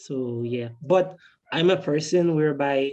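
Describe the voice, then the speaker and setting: A woman speaks at a very deep, low pitch with a dark, mellow tone. Her intonation is fairly even and her pace fairly slow. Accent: Guyanese. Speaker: filmmaker. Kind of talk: panel Q&A answer. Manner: hesitant, many fillers.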